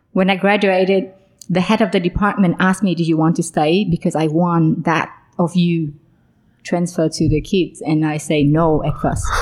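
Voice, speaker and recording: A woman with a Vietnamese accent speaks at a moderate pace and a fairly low pitch, her loudness very even. The recording is very clean, with a silent background. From Vietnam (born Hanoi, raised Saigon). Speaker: social enterprise founder. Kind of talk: casual interview. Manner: animated, laughs often.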